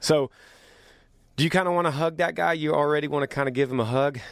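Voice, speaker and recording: A man at a fairly quick pace in a very clean recording with a silent background. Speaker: singer. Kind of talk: casual podcast monologue.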